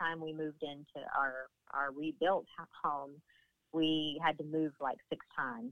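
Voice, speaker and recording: In a Southern US accent, a woman speaks at a very slow pace with a very deep, low pitch. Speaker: therapy dog handler and dog owner. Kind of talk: casual interview. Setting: phone call. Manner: warm, chatty, laughs often.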